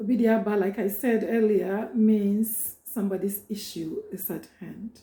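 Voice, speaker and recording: Speaking with a Ghanaian accent at a fairly slow pace, a woman of medium pitch keeps fairly even intonation amid big swings in loudness. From Ghana, Ashanti and Akyem. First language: Twi. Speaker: prophetess and cultural educator. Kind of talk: informal talk introducing a reading.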